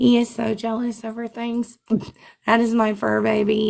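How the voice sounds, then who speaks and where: A woman with a Memphis accent speaks at a fairly slow pace. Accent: Southern US (Memphis). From Memphis, Tennessee, US South. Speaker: live streamer. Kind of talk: livestream chat. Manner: loud; animated.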